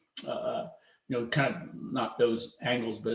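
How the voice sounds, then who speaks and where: A man's medium-pitched voice at a fairly quick pace, with audible room echo. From US, Philadelphia suburbs. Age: 50s. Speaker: woodworker. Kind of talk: presentation talk. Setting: video call. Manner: halting, many fillers and restarts.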